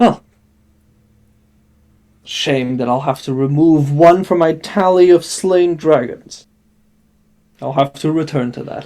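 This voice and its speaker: In a put-on character voice, a man rumbles at a fairly high pitch and a fairly slow pace. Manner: grumbling.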